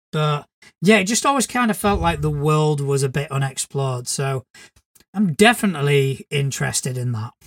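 Lively intonation in a somewhat breathy voice, dry and close with no echo. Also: man, fairly high pitch for a man, moderate pace. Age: 40s. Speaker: podcast co-host, game master. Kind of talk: casual chat.

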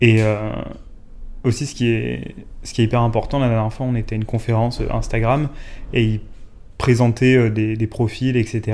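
A man with a medium pitch talks at a moderate pace in a monotone, flat intonation. He leaves long, frequent pauses. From southern France. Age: 20s. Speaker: brand communications manager. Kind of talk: casual chat. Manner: hesitant.

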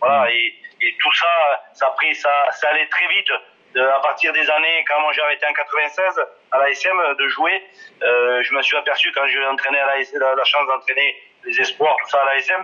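The speaker keeps a very even loudness, with long, frequent pauses and noticeable background noise behind the voice. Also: man, moderate pace. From southwest France, Ariège. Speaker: former rugby player and coach. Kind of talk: interview. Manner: halting, many hesitations.

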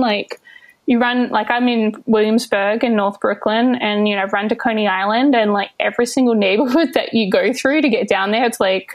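Speaking with an Australian accent, a woman uses a fairly high pitch and ordinary pitch variation at a moderate pace. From Western Australia (Albany). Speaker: wedding photographer. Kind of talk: casual interview chat. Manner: hesitant, many fillers.

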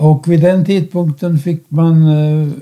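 A man speaks with a dark, mellow tone and a somewhat breathy quality. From Czechoslovakia. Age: 90s. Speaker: Holocaust survivor and lecturer. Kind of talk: interview. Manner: halting.

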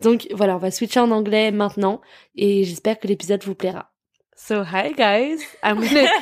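A woman at medium pitch, fairly quick, with ordinary pitch variation. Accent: French. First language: French. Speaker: podcast host. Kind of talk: casual chat.

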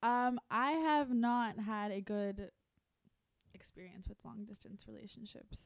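A woman's fairly high-pitched, ordinary speaking voice at a fairly slow pace, with big swings in loudness and ordinary pitch variation. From US South. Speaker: musician. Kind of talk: casual chat.

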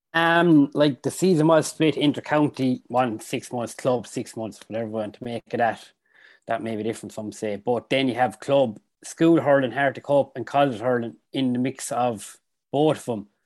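Against a quiet background, a man with a medium pitch and ordinary pitch variation speaks at a moderate pace. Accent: Irish. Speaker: hurler. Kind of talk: casual chat.

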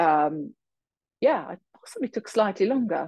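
A woman with a British accent speaks at a fairly low pitch, her voice swinging very widely up and down. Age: 50s. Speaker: finance executive and firm co-founder. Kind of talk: interview.

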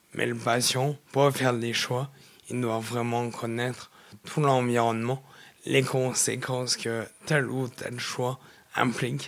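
A man speaks at a very slow pace with monotone, flat intonation. Noticeable background noise is present. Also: medium pitch for a man. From France, Nord-Isère near Lyon. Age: 20s. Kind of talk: interview testimony. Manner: halting, repeats words.

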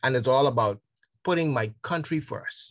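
The voice belongs to a man and is somewhat breathy. His pitch varies in an ordinary way. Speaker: senior education official. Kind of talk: interview. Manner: halting.

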